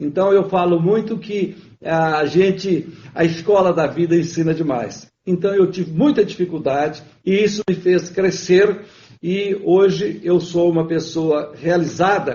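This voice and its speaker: Speaking at a fairly slow pace, a man uses a high pitch with fairly even intonation. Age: 70s. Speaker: businessman. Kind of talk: interview. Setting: livestream.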